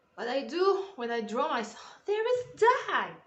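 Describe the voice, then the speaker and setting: With very wide pitch swings, a woman talks at a fairly slow pace amid audible room echo. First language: French. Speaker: artist and YouTuber. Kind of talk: drawing tutorial voiceover. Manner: halting; casual.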